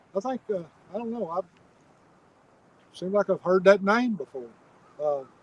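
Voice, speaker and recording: A man's high-pitched voice at a moderate pace, with long, frequent pauses, ordinary pitch variation, and a dry, close sound with no echo. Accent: Kentucky. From Kentucky, Bowling Green. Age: 50s. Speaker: fishing channel host. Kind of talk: casual live stream chat. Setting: outdoors on a lake bank.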